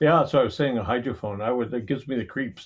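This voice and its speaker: A man's somewhat breathy, fairly quick speech over light background noise. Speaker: ocean scientist and former consultant. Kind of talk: casual interview. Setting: video call. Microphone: video call.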